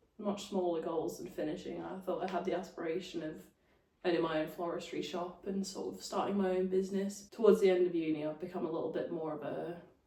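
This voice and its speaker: A woman's fairly low voice at a very fast pace, with monotone, flat intonation and audible room echo. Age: 20s. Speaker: podcast co-host, recent graduate. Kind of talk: casual chat.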